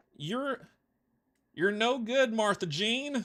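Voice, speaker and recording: A man's mumbling, put-on character voice at a high pitch. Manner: wary, mumbling.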